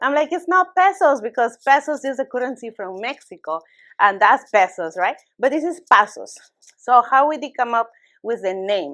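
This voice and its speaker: A high-voiced woman with a bright, sharp tone talks at a moderate pace, her pitch swinging very widely. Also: very clean recording, silent background. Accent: Spanish. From Peru. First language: Spanish. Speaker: small business owner. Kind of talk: business presentation. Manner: halting.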